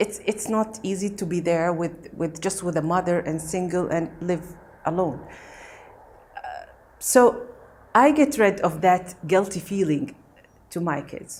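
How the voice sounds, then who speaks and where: Speaking in a Gulf Arabic accent, a woman talks at a fairly slow pace with long, frequent pauses, big swings in loudness and ordinary pitch variation. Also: medium pitch for a woman. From Kuwait. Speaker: meditation practitioner. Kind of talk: testimony. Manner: halting.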